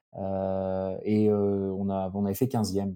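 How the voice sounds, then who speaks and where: The recording is very clean, its background silent. A man's tone is dark and mellow. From Alsace, France. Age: 30s. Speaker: bobsleigh pilot. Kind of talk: interview. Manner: halting, many fillers.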